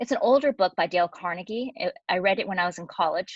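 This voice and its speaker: Speaking fairly quickly with lively intonation, a woman with an American accent uses a medium pitch in a dry, close sound with no echo. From Colorado, Denver. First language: Cantonese. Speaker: anesthesiologist. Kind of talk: presentation.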